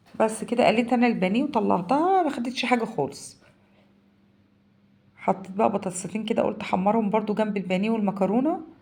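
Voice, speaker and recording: A woman with an Egyptian accent, fairly high and somewhat breathy, at a fairly quick pace. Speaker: home cooking vlogger. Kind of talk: cooking tutorial. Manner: casual, halting.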